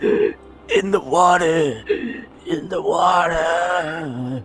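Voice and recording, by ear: Over clear background music, a man uses a raspy, high-pitched put-on character voice at a very slow pace.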